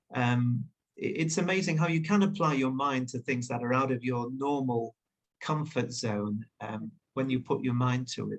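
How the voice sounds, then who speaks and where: Speaking at a moderate pace with a British accent, a man has a medium pitch and a somewhat breathy voice. His pitch varies in an ordinary way. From northern England, Leeds. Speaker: journalist and author. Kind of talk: interview. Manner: hesitant, many fillers.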